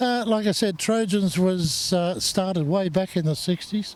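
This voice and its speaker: A man with an Australian accent, high pitch, ordinary pitch variation and very even loudness. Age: 70s. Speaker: hot rod club president. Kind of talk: casual interview.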